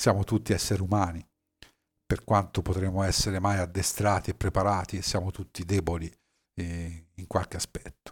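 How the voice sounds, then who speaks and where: A man speaks at a very deep, low pitch, somewhat breathy, at a moderate pace in a monotone, flat intonation with long, frequent pauses. The recording is very clean with a silent background, and the sound is dry and close with no echo. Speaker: podcaster and former navy submarine officer. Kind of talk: personal storytelling monologue. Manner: hesitant with fillers.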